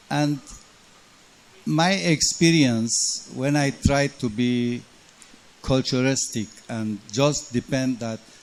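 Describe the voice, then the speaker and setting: Noticeable background noise accompanies a man with a Nigerian accent and ordinary pitch variation. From Lagos, Nigeria (Armenian family). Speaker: hotel general manager. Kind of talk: panel discussion.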